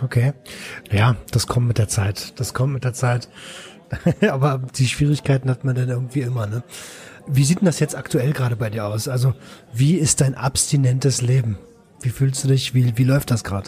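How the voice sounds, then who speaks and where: A man with a medium pitch speaks at a moderate pace with long, frequent pauses over noticeable background noise. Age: 30s. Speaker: podcast host, recovery helper. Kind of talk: podcast interview.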